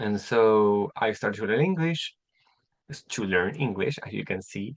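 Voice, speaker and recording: Against a quiet background, a man with a Chilean Spanish accent speaks at a moderate pace in a fairly low pitch, with lively intonation. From Chile (Temuco). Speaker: English teacher. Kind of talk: online class. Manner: halting, many repetitions.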